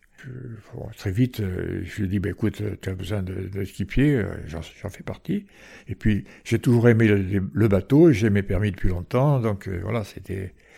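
A man's fairly low, dark and mellow voice, somewhat breathy, at a fairly slow pace with ordinary pitch variation and big swings in loudness, in a very clean recording with a silent background. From Provence, France (Marseille and Porquerolles). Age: 80s+. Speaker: retired island resident, former lifeboat coxswain. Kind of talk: interview. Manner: halting, with repetitions.

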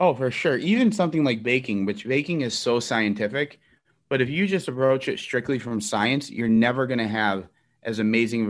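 Against a quiet background, a man with a Chicago accent speaks fairly quickly at a medium pitch with ordinary pitch variation. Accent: Chicago American. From Chicago, Elmwood Park. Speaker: executive chef. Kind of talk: interview.

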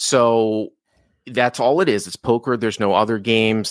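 A man with an American accent speaks at a moderate pace in a normal speaking voice with a fairly low pitch. The recording is very clean with a silent background, and the sound is dry and close with no echo. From Boston, Massachusetts. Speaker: poker coach and content creator. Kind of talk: casual interview chat.

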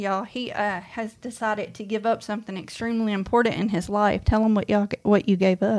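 Hardly any pauses break up this woman's very fast speech. She talks in a Mississippi accent with monotone, flat intonation. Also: medium pitch for a woman. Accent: US Southern (Mississippi). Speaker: co-host of woodworking channel. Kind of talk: casual livestream chat.

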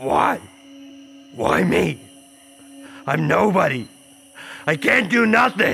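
A fairly high male voice at a fairly slow pace, with long, frequent pauses and music in the background. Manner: despairing, pleading.

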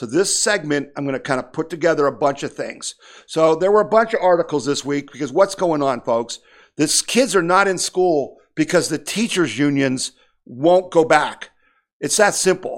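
A man with an ordinary speaking voice, fairly high in pitch, talks at a moderate pace with ordinary pitch variation. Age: 60s. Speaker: political podcast host, activist group president. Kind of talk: news and opinion monologue.

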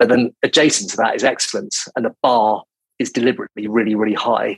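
A man with a British accent speaks at a fairly quick pace. The sound is dry and close, with no echo. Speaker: recruitment company CEO. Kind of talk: interview. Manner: calm, considered.

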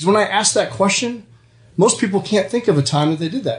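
A man speaks loudly with lively intonation. His pace is very fast. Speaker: podcast host, performance coach; radio show guest.

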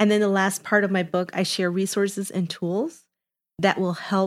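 In a Chicago accent, a woman talks at a moderate pace with monotone, flat intonation on a very clean recording with a silent background. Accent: Chicago American English. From Chicago, Little Village. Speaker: HR executive and author. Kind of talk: interview conversation. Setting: studio.

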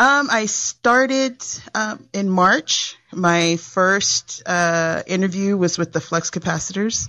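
A woman with a normal speaking voice, medium pitch, lively intonation and hardly any pauses. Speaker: blogger. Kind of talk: casual chat.

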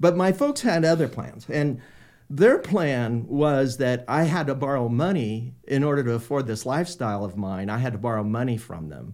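A man with an American accent, medium pitch, lively intonation and a moderate pace. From US West Coast, Sacramento, California. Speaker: painter. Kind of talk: interview. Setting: studio. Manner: halting.

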